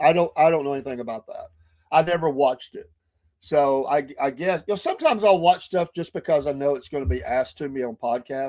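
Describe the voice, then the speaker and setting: Talking very fast, a man with a fairly high pitch and a dark, mellow tone swings widely in loudness while his pitch varies in an ordinary way. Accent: Southern US. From northern Georgia near Tennessee. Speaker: podcast host. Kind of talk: casual live-stream chat. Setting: live stream with chat.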